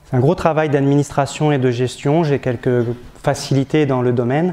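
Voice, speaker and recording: A man's fairly high-pitched voice. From northern France, Picardy. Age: 40s. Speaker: parish priest. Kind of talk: testimony. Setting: diocesan gathering before an audience. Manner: hesitant, many filler sounds.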